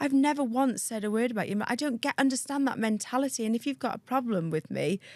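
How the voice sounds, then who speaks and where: A woman's high voice in a North Wales accent, very fast with ordinary pitch variation, in a dry, close sound with no echo. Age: 30s. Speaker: aesthetics practitioner. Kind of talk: casual interview chat. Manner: animated.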